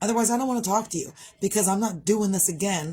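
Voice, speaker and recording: A woman talks in a dark, mellow tone that is somewhat breathy. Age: 40s. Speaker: vlogger. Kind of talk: casual vlog monologue. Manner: fast; animated.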